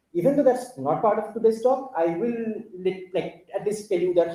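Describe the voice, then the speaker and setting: With an Indian accent, a man talks at a fairly quick pace and with lively intonation. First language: Bengali. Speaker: conference speaker. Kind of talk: technical talk. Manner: halting.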